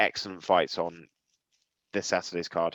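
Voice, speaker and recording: Flat, monotone intonation runs at a fairly quick pace in a dry, close recording with no echo. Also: man. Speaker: podcast co-host. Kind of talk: casual chat.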